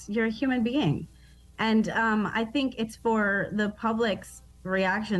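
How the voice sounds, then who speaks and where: Music plays in the background. A woman talks at medium pitch with an American accent. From Baltimore, Maryland, US. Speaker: comedian. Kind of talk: casual radio interview. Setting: video call from Baltimore. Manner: animated, joking.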